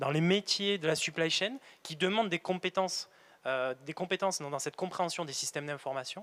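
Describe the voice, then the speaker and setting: This man has a high pitch and a bright, sharp tone. The sound is dry and close, with no echo. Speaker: factory manager. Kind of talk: career interview in a webinar. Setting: on site at a factory, webinar filming. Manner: halting, many repetitions and hesitations.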